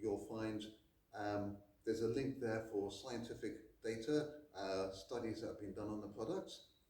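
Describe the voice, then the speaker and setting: In a room with audible echo and noticeable background noise, a man speaks at a medium pitch and moderate pace with ordinary pitch variation. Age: 60s. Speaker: karate instructor. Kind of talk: product recommendation.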